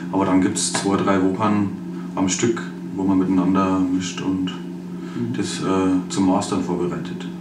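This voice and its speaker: Noticeable background noise behind a man's very deep, low voice with a Bavarian accent. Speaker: rapper. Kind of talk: interview answer.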